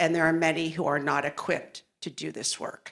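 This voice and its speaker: A woman speaks at a moderate pace in an unremarkable speaking voice. Her pitch is fairly low. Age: 60s. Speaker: nurse and maternal health panelist. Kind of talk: conference panel discussion.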